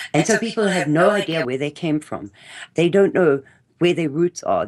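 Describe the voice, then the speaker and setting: A woman with vocal fry speaks at a fairly low pitch with lively intonation. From South Africa. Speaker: interview guest, speaker on South African history. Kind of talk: interview conversation.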